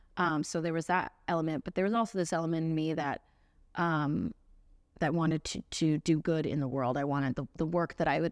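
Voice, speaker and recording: A woman with an American accent speaks at a fairly quick pace in a very deep, low voice with ordinary pitch variation. The recording is very clean, with a silent background and a dry, close sound with no echo. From Central Florida, US South. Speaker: singer-songwriter. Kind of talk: casual interview. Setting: in person studio.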